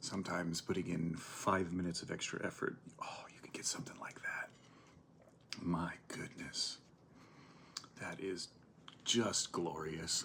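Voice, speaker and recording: Whispering in a relaxed tone, a man goes at a fairly slow pace with long, frequent pauses. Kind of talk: ASMR eating and chatting to camera. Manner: soft-spoken, relaxed.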